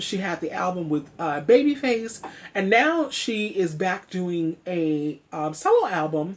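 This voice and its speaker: Her tone is animated, with very wide pitch swings. A woman speaks over noticeable background noise. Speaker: online commentary vlogger. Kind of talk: casual vlog commentary. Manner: animated, chatty.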